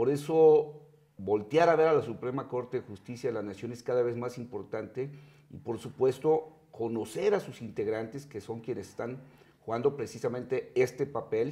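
A man in a Mexican accent uses a dark, mellow tone, with ordinary pitch variation and big swings in loudness. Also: moderate pace. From Mexico. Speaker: TV interviewer. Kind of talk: interview. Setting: TV studio. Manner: halting. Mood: calm, formal. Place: studio. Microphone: lapel.

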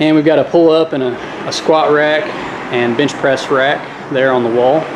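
At a moderate pace, a man talks in a monotone, flat way over light background noise. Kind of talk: casual tour narration. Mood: relaxed, friendly. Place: gym. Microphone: phone near.

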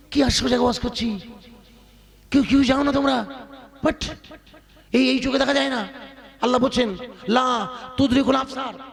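Against noticeable background noise, a man with an extremely high pitch speaks in an animated tone. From India, West Bengal (Basirhat area). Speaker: Islamic preacher. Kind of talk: sermon. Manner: loud, animated exhortation.

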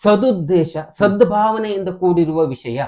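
This man has a high pitch and a dark, mellow tone. His pitch varies in an ordinary way. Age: 50s. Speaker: insurance advisor. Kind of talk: interview.

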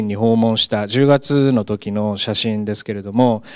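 The man's pitch is medium, with ordinary variation, and his pace is fairly slow. The sound is dry with no echo, over a quiet background. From Japan, Gunma. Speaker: professor. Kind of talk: lecture. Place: classroom. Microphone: handheld.

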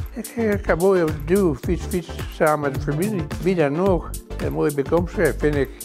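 With clear music playing clearly behind him, a man speaks at a moderate pace. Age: 80s+. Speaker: customer giving testimonial. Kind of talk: interview answer. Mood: content, appreciative. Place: home room.

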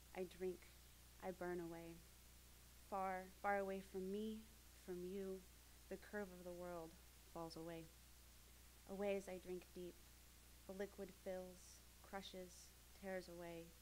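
Light background noise accompanies a woman who leaves long, frequent pauses. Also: fairly slow pace. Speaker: graduate creative writing student. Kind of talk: reading aloud. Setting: stage with audience. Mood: intense, rhythmic, incantatory. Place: hall. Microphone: podium.

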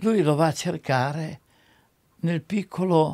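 The voice has a dark, mellow tone. The background is quiet. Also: man. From Italy, Romagna. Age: 80s+. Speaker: screenwriter. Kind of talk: interview answer. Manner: lively. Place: home room.

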